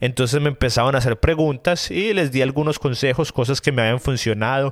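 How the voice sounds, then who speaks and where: A man speaks at a medium pitch and a fairly quick pace, with ordinary pitch variation, on a very clean recording with a silent background. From Colombia, Medellín. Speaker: podcast host. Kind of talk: casual solo podcast monologue. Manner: hesitant, many fillers.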